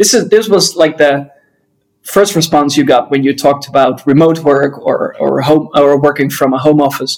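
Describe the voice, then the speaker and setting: A man with a Dutch accent talks at a moderate pace and a fairly high pitch. His loudness stays very even. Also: ordinary pitch variation. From Netherlands. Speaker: business author and co-founder. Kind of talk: interview. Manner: hesitant with frequent fillers.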